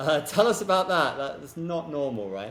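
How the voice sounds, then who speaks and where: Over noticeable background noise, a man talks at a moderate pace in a British accent. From Britain. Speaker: podcast host. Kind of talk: interview.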